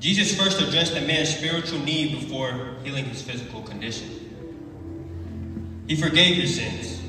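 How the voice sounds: Strong room echo surrounds a man speaking at a moderate pace. His medium pitch shows ordinary variation.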